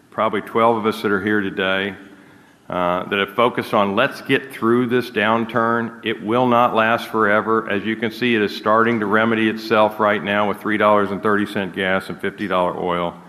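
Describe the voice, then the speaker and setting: In an American accent, this is an unremarkable speaking voice at a moderate pace. The intonation is fairly even. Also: man. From United States. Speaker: energy company executive. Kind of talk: conference talk; audience Q&A.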